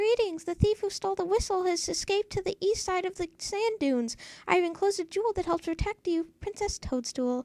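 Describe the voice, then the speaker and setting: A female-sounding put-on character voice runs at a fairly quick pace with hardly any pauses and an extremely high pitch. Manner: annoyingly sweet, high-pitched.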